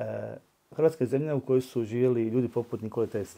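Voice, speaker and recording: A man with a dark, mellow tone, fairly even intonation, and a fairly quick pace. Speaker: politician and language teacher. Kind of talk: interview. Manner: hesitant, frequent filler sounds.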